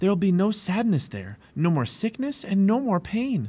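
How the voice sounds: Putting on a character voice, a man speaks high at a moderate pace, with very wide pitch swings, a dark, mellow tone and a slightly husky edge.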